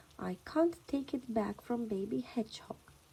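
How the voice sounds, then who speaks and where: Soft-spoken and calm, the speaker goes at a very slow pace with very wide pitch swings. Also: woman. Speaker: children's story reader. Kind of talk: reading aloud.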